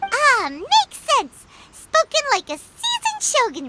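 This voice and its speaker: Fairly slow and squeaky, a put-on character voice sits at an extremely high pitch with very wide pitch swings. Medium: video game. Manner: casual, excitable.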